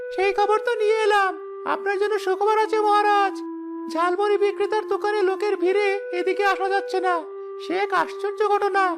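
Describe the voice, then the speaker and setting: A cartoonish character voice talks at a moderate pace over loud music in the background. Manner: sly, giggling, flattering.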